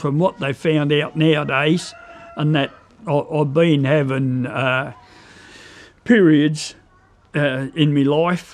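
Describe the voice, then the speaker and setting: Over noticeable background noise, a man with a strong Australian accent speaks in a fairly high voice with fairly even intonation. His pace is very slow, with long, frequent pauses. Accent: broad Australian. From Tasmania, Australia. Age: 60s. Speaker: pig and chicken breeder. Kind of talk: documentary interview. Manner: casual, hesitant with fillers.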